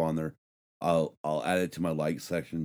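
Fairly quick speech comes from a man. The recording is very clean, and the background is silent. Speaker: podcast host. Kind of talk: casual chat. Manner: fast.

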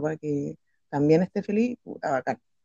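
With a very deep, low pitch and a dark, mellow tone, the woman talks at a fairly quick pace in a dry, close sound with no echo. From Chile, Patagonia. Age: 30s. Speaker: art teacher. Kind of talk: casual interview.

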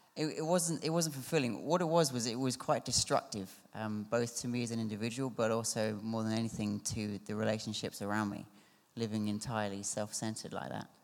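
A man's medium-pitched voice with a southern English accent, fairly quick, with ordinary pitch variation, on a very clean recording with a silent background. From Surrey, southern England. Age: 20s. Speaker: churchgoer. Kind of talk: testimony. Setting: church. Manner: halting.

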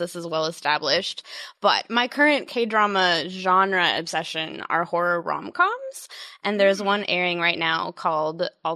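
A woman with an American accent speaks at a fairly slow pace in an ordinary speaking voice. Her pitch sits in the medium range and varies in an ordinary way. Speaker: podcast host. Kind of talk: casual chat.

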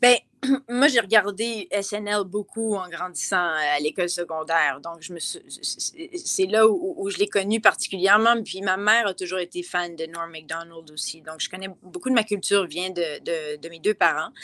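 A woman speaks at a fairly slow pace, her medium pitch moving with ordinary variation while her loudness rises and falls in big swings. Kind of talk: casual interview.

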